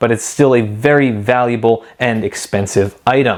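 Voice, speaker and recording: A man with an American accent speaks in a plain, everyday voice at a medium pitch. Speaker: Bible collector and video host. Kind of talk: show-and-tell video presentation. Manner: casual with frequent fillers.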